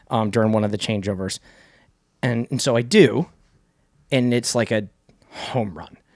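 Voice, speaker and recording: With an Arizona accent, a man speaks at a medium pitch with ordinary pitch variation and long, frequent pauses. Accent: US Southwest (Arizona) American. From Arizona, Phoenix area (Cave Creek/Carefree). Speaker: rock singer and songwriter. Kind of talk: casual interview chat. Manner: fast, filler-heavy with many restarts.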